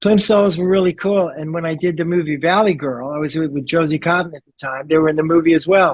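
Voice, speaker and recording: A man with a New York accent speaks very fast at a high pitch, with hardly any pauses. His loudness swings widely. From New York (Brooklyn). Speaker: rock bassist. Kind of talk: interview. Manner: animated.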